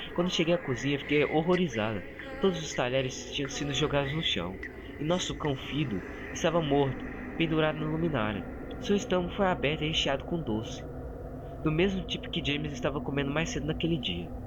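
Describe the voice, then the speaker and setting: The speech comes at a fairly quick pace, and background noise is noticeable. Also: man, fairly high pitch for a man. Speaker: creepypasta narrator. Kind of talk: horror story narration.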